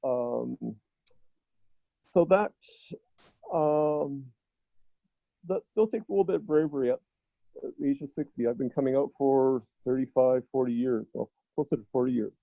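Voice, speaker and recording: A man with a fairly high pitch talks at a moderate pace with ordinary pitch variation. He leaves long, frequent pauses. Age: 50s. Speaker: LGBTQ advocate. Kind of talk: casual chat. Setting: video call.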